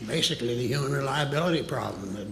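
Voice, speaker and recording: A man's fairly high voice, with noticeable background noise and audible room echo. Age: 80s+. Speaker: witness, former government employee. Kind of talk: testimony. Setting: hearing room with audience.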